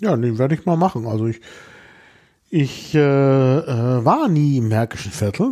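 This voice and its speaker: A man speaks with a dark, mellow tone, somewhat breathy, and lively intonation. The recording is very clean with a silent background. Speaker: podcast host. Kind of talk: casual interview.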